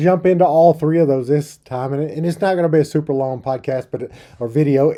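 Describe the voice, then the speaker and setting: At a very fast pace, a man with a fairly high pitch and a dark, mellow tone speaks over a quiet background. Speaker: podcast host. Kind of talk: solo podcast answering listener questions. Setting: studio.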